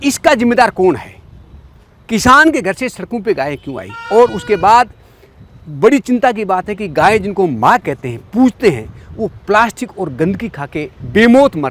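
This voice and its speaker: Over noticeable background noise, a man's high voice shows very wide pitch swings and big swings in loudness. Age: 50s. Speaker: farmer and rural commentator. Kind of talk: talk show discussion. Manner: emphatic.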